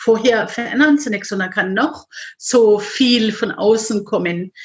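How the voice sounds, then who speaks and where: A woman, somewhat breathy, at a very slow pace with ordinary pitch variation. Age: 50s. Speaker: life coach. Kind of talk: interview.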